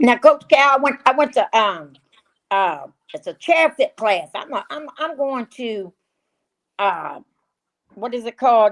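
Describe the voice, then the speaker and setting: A woman's high-pitched voice with very wide pitch swings and big swings in loudness, fairly slow with long, frequent pauses, dry and close with no echo. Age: 60s. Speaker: podcast co-host. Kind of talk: casual chat. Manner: animated.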